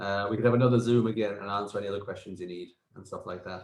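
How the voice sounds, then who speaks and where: Somewhat breathy, a man speaks at a very fast pace, with audible room echo. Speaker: accountant. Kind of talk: casual business video call. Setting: video call.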